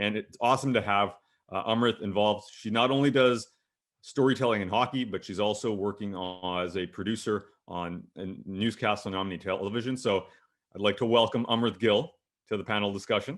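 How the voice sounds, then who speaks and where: A fairly quick, fairly evenly intoned delivery in a Canadian accent, an unremarkable speaking voice. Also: man, fairly low pitch for a man. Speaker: panel moderator and hockey broadcaster. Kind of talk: panel discussion moderation.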